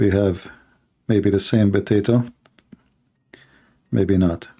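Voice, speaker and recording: A man talks at a very slow pace with a fairly low pitch. His tone is dark and mellow. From Middle East. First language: Arabic. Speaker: live call-in show host on religion. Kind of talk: live call-in show chat. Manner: animated.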